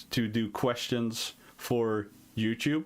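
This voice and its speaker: With a Dutch accent, a man talks at a medium pitch in a very clean recording with a silent background. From Netherlands. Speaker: indie game developer and streamer. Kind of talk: live stream Q&A. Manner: hesitant, many fillers.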